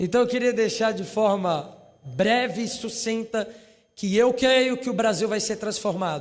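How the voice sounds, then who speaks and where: Noticeable background noise under a fairly slow delivery with ordinary pitch variation. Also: man. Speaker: youth movement leader. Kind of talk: speech. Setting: parliament session with audience.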